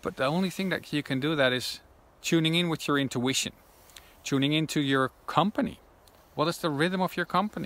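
A man with a Dutch accent talks at a fairly quick pace with ordinary pitch variation. The sound is dry with no echo. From Netherlands. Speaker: intuition coach. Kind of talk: vlog monologue. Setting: outdoors in woods. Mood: calm, reflective. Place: forest. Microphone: phone near.

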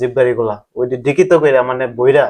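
A man is speaking. He has a normal speaking voice. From Bangladesh, Kishoreganj. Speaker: migrant worker. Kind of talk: interview testimony.

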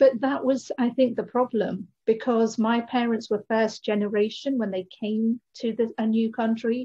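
A dark, mellow tone in a monotone, flat intonation at a moderate pace, over a quiet background. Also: woman, fairly high pitch for a woman. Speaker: spiritual lifestyle coach. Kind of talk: interview conversation. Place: home room. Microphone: video call.

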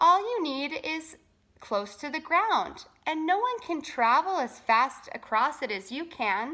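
Bright and sharp in tone, a put-on character voice swings widely in pitch at a fairly slow pace. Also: woman, high pitch for a woman.

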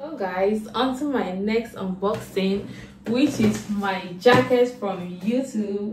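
Noticeable background noise is present in the recording. Over it, a woman's pitch shifts in an ordinary way. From Nigeria. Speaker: vlogger. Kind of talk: casual vlog, unboxing. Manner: animated. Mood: excited, cheerful. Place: home room. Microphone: phone near.

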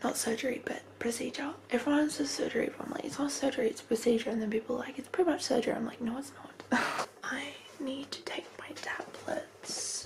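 At a moderate pace, a woman speaks in a whisper. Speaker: vlogger. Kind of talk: casual vlog chat. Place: home room. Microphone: phone near.

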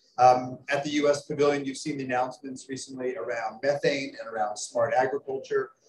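In an American accent, the speaker keeps a moderate pace over light background noise, with audible room echo. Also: man. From United States. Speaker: energy scientist, panelist; panelist. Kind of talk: panel remarks. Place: hall.

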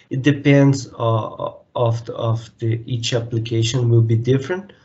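Somewhat breathy male voice at a fairly slow pace. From Brazil. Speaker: mechanical engineer. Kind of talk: interview. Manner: halting, many repetitions. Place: home room. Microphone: video call.

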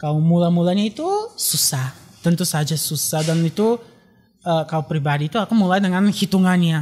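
Here a man talks at a fairly quick pace with ordinary pitch variation. His voice is high in pitch. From Bulgaria. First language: Bulgarian (speaking Indonesian). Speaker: graduate student and traditional dance learner; guest. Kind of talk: casual interview. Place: studio. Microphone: studio mic.

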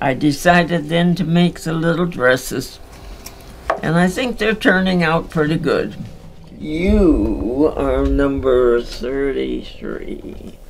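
A woman at a very slow pace, with light background noise. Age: 80s+. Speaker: dressmaker for charity gifts. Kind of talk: interview answer. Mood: wistful, warm.

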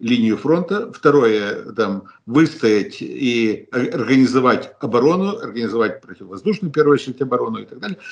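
Very wide swings of pitch from a man speaking at a moderate speed. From Ukraine. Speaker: political analyst. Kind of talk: analytical interview. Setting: remote video call. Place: home room. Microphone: video call.

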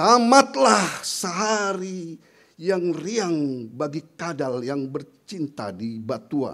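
Over a quiet background, a man with a fairly high pitch talks at a very slow pace, his pitch swinging very widely. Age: old. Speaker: poet. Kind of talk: poetry reading. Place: stage. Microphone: podium.

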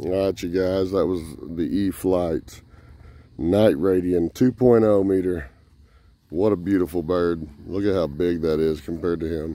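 A man's very deep, low voice with a dark, mellow tone, fairly even intonation and a fairly slow pace, in a dry sound with no echo. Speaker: hobby vlogger filming his son. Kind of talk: casual vlog chat. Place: open country. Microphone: phone near.

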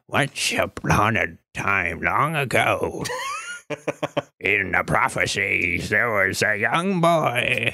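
Using a raspy, put-on character voice at medium pitch, a man speaks at a very slow pace. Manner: storytelling, prophetic.

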